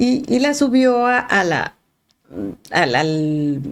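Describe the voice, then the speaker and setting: A woman's medium-pitched voice with very wide pitch swings, in a strong northern Mexican accent. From northern Mexico, Sonora. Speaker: art historian. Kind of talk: podcast interview. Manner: halting, many repetitions; articulate, clear.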